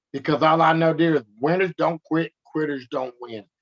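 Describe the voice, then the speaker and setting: An American accent at a moderate pace, with a dry, close sound and no echo. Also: man. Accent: country speech when upset. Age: 50s. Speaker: activist, relative of police violence victim. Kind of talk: interview conversation. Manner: animated.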